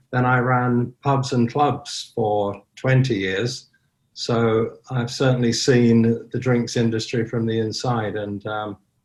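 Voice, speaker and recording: A man's somewhat breathy, medium-pitched voice, very slow and flat in a monotone. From southern Ireland. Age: 70s. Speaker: online sober community founder. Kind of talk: podcast interview.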